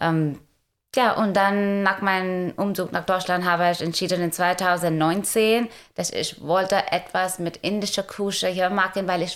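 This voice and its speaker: Her pace is fairly slow. This woman keeps her intonation fairly even. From India. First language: Indian language, German learned as adult (speaking German). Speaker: food startup founder. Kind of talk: interview. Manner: halting, many fillers.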